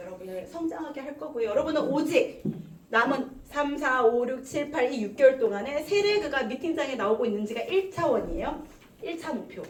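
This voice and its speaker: Her voice is high-pitched, with very wide pitch swings and a moderate pace. The woman is heard with audible room echo. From South Korea, Gumi (Gyeongsang). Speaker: network marketing leader and seminar speaker. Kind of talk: motivational business seminar talk. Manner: animated, exhorting.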